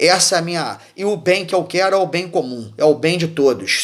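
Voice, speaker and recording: A man's speech, paced moderately and with ordinary pitch variation, sits over noticeable background noise. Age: 60s. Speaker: former military, political commentator. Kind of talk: political monologue. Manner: halting, many repetitions and fillers; impassioned.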